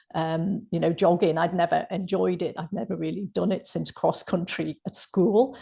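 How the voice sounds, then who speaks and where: Speaking with hardly any pauses, a woman has a fairly low pitch, vocal fry and a dark, mellow tone. Her pitch varies in an ordinary way against a quiet background. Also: moderate pace. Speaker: health coach and counsellor. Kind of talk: interview.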